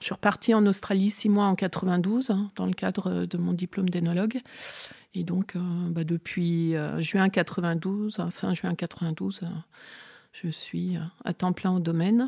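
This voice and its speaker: In a very clean recording with a silent background and a dry, close sound with no echo, a woman speaks at a very slow pace, somewhat breathy, with a dark, mellow tone at medium pitch. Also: fairly even intonation. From Burgundy, France. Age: 50s. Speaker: winemaker. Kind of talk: in-depth interview. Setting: on location at her winery. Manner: candid, outspoken.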